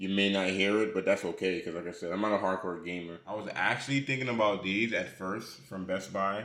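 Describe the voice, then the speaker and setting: The voice is bright and sharp, moving at a fairly quick pace with hardly any pauses. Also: man, fairly low pitch for a man. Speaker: tech youtuber. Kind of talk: product review. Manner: loud when excited, mumbles otherwise.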